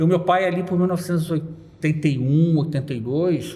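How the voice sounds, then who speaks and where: A man talks with a fairly high pitch and ordinary pitch variation. There is audible room echo and noticeable background noise. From Rio de Janeiro suburbs, Brazil. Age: 40s. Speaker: carnival blogger and economist. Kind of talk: interview.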